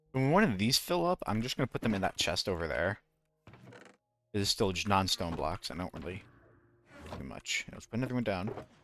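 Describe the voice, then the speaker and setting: Mumbling at a fairly quick pace, a man with a fairly low pitch and lively intonation leaves long, frequent pauses, recorded with a dry, close sound and no echo. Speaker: gaming streamer. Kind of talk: casual live-stream commentary. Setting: live stream.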